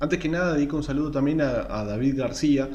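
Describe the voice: The speaker is a man with a dark, mellow tone. His pace is moderate.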